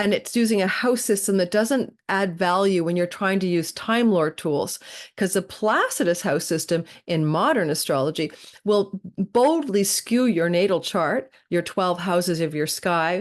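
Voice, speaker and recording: A woman's ordinary speaking voice at a medium pitch, fairly slow, with ordinary pitch variation and very even loudness. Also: quiet background. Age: 60s. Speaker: astrologer. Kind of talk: podcast interview.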